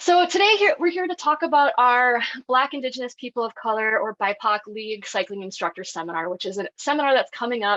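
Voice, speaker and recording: Energetic, bright and sharp in tone, with lively intonation, a fairly quick pace and a dry, close sound free of echo. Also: woman. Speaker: bike education program staff. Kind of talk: webinar presentation. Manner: fast.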